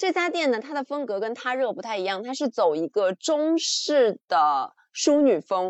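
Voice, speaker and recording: A woman speaks in a high voice with very wide pitch swings and hardly any pauses. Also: moderate pace. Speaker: podcast co-host. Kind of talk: casual chat. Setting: video call. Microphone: slightly muffled audio.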